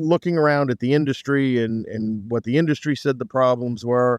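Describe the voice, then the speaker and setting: In a dry, close recording with no echo, a man with an unremarkable speaking voice and an American accent speaks at medium pitch with fairly even intonation. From Greater Boston, Massachusetts. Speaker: opera company co-founder, military retiree. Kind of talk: podcast interview.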